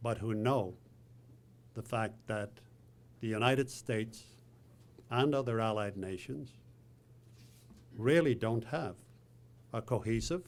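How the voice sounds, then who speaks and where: Speaking at a fairly slow pace with long, frequent pauses, a man keeps his pitch in the medium range. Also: ordinary pitch variation. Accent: Irish. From Ireland, northwest. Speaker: president of a foreign affairs council, event host. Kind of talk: opening remarks at a panel event.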